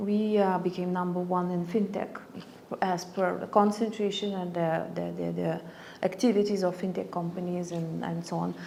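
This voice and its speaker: A woman speaks at a moderate pace in a Lithuanian accent, her pitch fairly low and her intonation flat and monotone. Audible echo fills the room around her. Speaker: ambassador. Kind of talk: interview. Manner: halting, many fillers.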